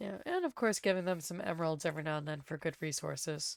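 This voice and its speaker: A raspy, put-on character voice at a very fast pace on a very clean recording with a silent background. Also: female-sounding voice, fairly low pitch for a woman. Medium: actual play. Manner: earnest, formal.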